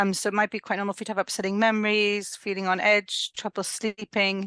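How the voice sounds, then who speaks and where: A medium-pitched woman in a dry, close sound with no echo and a quiet background. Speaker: perinatal mental health midwife. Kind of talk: interview. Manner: mumbles sometimes.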